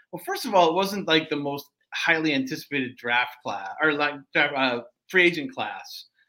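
Bright, sharp, fairly high male voice at a moderate pace, with lively intonation. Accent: American. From US Midwest, Detroit area. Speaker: sports journalist. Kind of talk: casual chat.

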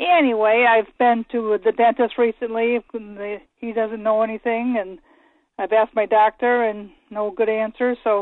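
A woman with a plain, everyday voice speaks at a fairly high pitch and a moderate pace. Her intonation is fairly even. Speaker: caller. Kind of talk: phone-in question. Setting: phone call.

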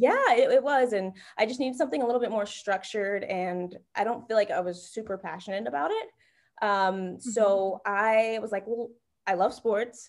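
In an unremarkable speaking voice, a woman with an American accent talks at a moderate pace with a fairly high pitch and ordinary pitch variation, on a very clean recording with a silent background. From North Carolina. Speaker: sports partnerships manager. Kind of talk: interview.

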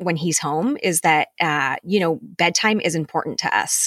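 In a very clean recording with a silent background and a dry, close sound with no echo, a woman uses a normal speaking voice at a fairly low pitch and a moderate pace. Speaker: podcast co-host, mom. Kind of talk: casual chat.

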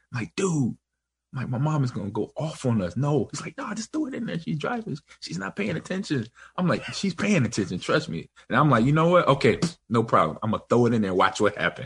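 Talking at a very fast pace with an American accent, a man uses a fairly high pitch, very wide pitch swings, and vocal fry. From Los Angeles, US. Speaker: podcast host. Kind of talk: casual chat.

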